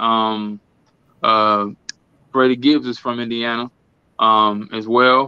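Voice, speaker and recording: Holding a medium pitch, a man speaks with monotone, flat intonation. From Milwaukee, Wisconsin (US Midwest). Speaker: rapper. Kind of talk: casual chat.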